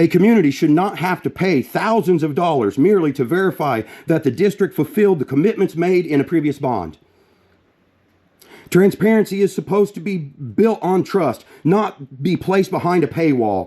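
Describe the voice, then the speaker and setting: Loud and high-pitched, a man with an American accent talks at a moderate pace, with a dark, mellow tone and lively intonation. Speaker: member of the public addressing school board. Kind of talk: prepared statement at public meeting. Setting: school board meeting.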